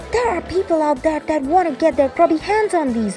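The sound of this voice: Clear music plays in the background as a high-pitched, put-on character voice moves at a fairly quick pace.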